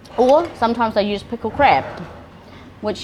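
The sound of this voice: A woman at a moderate pace, her intonation lively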